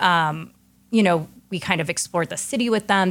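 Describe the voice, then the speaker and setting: In a very clean recording with a silent background, a woman has an ordinary speaking voice, a fairly low pitch and ordinary pitch variation. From US West Coast, San Francisco. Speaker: chef and restaurant owner. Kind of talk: casual interview conversation.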